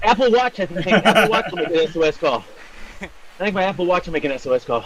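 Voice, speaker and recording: Over noticeable background noise, a man talks very fast in a high voice with lively intonation. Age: 60s. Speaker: amateur cyclist. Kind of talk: casual chat.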